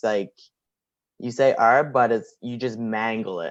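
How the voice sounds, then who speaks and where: A man speaks at a fairly slow pace with fairly even intonation and a medium pitch. He has an ordinary speaking voice, set against a quiet background. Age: young. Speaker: pro wrestler. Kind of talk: casual interview chat. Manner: casual, filler-heavy.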